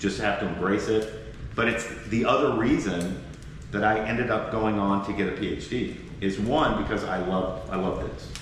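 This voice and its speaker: Over noticeable background noise and audible room echo, a man speaks with fairly even intonation and a fairly low pitch. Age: 60s. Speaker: professor. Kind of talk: podcast interview. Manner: conversational, with fillers and restarts.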